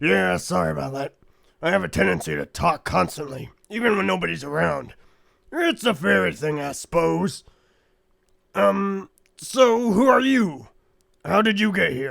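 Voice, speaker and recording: A man puts on a raspy character voice at a fairly high pitch. He leaves long, frequent pauses. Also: moderate pace. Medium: audio drama. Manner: talkative, casual.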